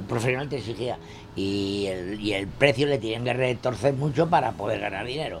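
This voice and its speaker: The man talks at a medium speed. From Castile, Spain (Burgos). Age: 90s. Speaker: retired printer. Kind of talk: interview. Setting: at his home. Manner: halting.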